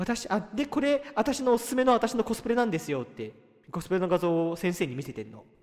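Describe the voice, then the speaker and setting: A man with a high pitch, very wide pitch swings and big swings in loudness at a fairly quick pace, over noticeable background noise. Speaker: podcast co-host. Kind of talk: casual chat. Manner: starts talk with frequent 'anoo' fillers.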